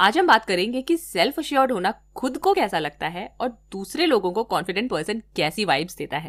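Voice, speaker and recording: This woman's voice sits fairly high and moves through very wide pitch swings. She keeps a moderate pace. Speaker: podcast host. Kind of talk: podcast intro and chat. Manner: code-switching Hindi and English.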